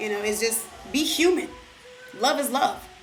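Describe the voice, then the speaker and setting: A woman with an American accent speaks in a high voice with very wide pitch swings, and the recording has audible room echo and noticeable background noise. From Detroit, Michigan. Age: 20s. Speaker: vlogger. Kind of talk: casual Q&A vlog.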